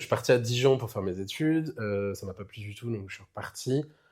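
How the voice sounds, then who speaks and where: A man's medium-pitched, somewhat breathy voice, with ordinary pitch variation and big swings in loudness. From France, Burgundy (Saône-et-Loire). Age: 20s. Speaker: drag queen. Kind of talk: casual interview.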